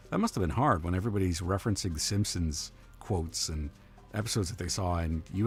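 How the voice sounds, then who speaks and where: A man talks at a very fast pace in a very deep, low pitch. His pitch varies in an ordinary way, with music in the background. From Canada. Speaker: video game live streamer. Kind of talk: casual live-stream chat with viewers.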